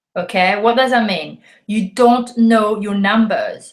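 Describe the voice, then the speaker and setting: With a French accent, the speaker sounds animated and uses ordinary pitch variation. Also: woman. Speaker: network marketing coach. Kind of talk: video talk to camera. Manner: halting with many fillers.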